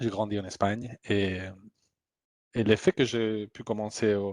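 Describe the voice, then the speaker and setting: A man speaks very slowly with a Spanish accent. His pitch sits in the medium range. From Spain. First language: Spanish (speaking French). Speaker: humanitarian aid worker. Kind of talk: testimony. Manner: halting, many repetitions.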